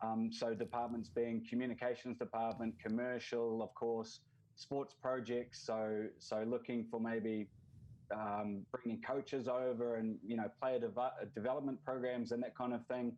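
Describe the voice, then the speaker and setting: With a New Zealand accent, a man speaks at a medium pitch and a fairly slow pace in a dark, mellow tone. His intonation is monotone and flat, and his loudness very even. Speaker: football league representative. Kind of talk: podcast interview.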